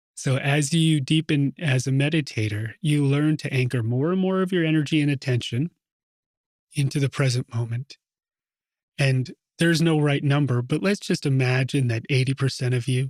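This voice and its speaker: At a moderate pace, a man with a fairly high pitch speaks in a relaxed, somewhat breathy tone with ordinary pitch variation and very even loudness, the sound dry and close with no echo. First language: Russian. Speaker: meditation teacher. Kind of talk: talk before a guided meditation. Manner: relaxed, conversational.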